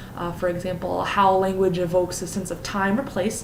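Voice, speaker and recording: A woman speaks over noticeable background noise. The room echo is audible. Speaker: teacher. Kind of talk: lesson plan presentation; classroom teaching demonstration. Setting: recording at home. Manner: fast.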